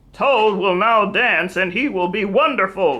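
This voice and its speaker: A woman puts on a character voice at medium pitch. She speaks at a moderate pace. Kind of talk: showman's announcement. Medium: read story.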